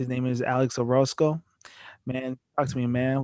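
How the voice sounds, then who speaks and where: Recorded with a dry, close sound and no echo, a man with an American accent talks at a moderate pace in a normal speaking voice. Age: 20s. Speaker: podcast host. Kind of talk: casual interview.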